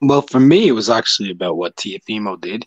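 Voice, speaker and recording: A man with an Irish accent speaks in a fairly low pitch with lively intonation. The sound is dry with no echo and the background is quiet. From Ireland. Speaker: boxing YouTuber and freelance writer. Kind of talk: casual panel discussion. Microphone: video call.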